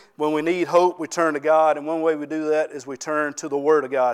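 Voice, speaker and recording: In a very clean recording with a silent background, a man speaks at a moderate pace in a fairly high pitch. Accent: Southern US. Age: 40s. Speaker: pastor. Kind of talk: sermon.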